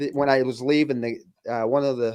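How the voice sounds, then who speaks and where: A man with a Michigan accent rattles along at a very fast pace with fairly even intonation, in a dry, close sound with no echo over a quiet background. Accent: Midwestern US (Michigan). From Flint, Michigan. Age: 50s. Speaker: retired firefighter. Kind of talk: casual interview chat.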